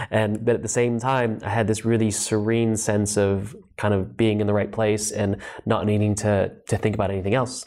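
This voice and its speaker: A man with an American accent talks at a moderate pace in a fairly low pitch, his intonation monotone and flat. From Los Angeles, US. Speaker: yoga teacher and author. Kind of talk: interview podcast. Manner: calm.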